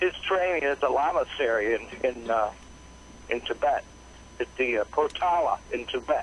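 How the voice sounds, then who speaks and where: Moderate pace and very even loudness, with long, frequent pauses and noticeable background noise. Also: man. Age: 60s. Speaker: caller. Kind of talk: call-in conversation. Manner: halting.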